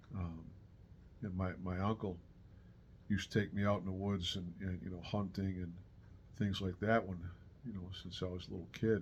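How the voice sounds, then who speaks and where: A man with an American accent speaks in a very deep, low pitch, somewhat breathy. His intonation is monotone and flat, broken by long, frequent pauses. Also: moderate pace. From Western New York. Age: 60s. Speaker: retired backpacker vlogger. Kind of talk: casual monologue. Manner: halting, many fillers and repeats.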